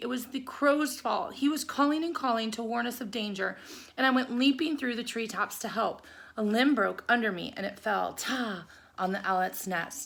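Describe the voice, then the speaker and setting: In a put-on character voice, a woman speaks high and raspy at a moderate pace. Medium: read story. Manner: nervous.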